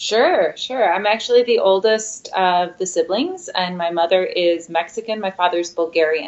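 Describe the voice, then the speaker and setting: Her pitch medium and its variation ordinary, a woman talks at a moderate pace with hardly any pauses. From US Midwest, Michigan (Midland, Ypsilanti), part of childhood in Mexico. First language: Spanish. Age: young. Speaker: opera singer. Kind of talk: interview. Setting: studio.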